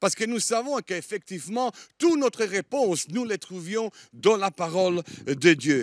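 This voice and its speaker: A high-pitched man with lively intonation at a fairly slow pace, on a very clean recording with a silent background. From Germany (Italian, born in Italy). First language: Italian (speaking French). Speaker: guest preacher. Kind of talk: sermon. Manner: halting, many hesitations.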